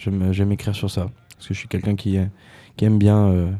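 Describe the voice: Marked by vocal fry, this man's low voice has a dark, mellow tone and little pitch movement.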